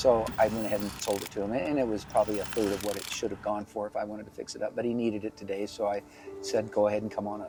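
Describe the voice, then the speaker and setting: A man talks at a very fast pace in a fairly low pitch. His intonation is monotone and flat, with music in the background. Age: 70s. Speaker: animal rescuer and rancher. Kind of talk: interview.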